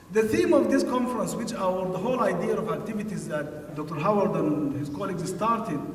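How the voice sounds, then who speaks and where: A man's pitch swings very widely amid noticeable background noise and audible room echo. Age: 60s. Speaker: conference speaker. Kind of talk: speech. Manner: formal.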